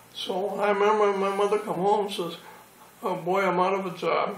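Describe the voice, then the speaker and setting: Against noticeable background noise, a man with a high-pitched voice speaks at a moderate pace. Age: 80s+. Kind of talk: interview answer.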